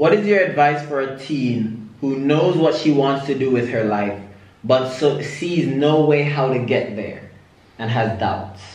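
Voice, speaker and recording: Talking at a fairly slow pace with ordinary pitch variation, a man's voice carries audible room echo. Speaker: YouTube vlogger. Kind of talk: casual family Q&A vlog. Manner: upbeat, laughing. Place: home room.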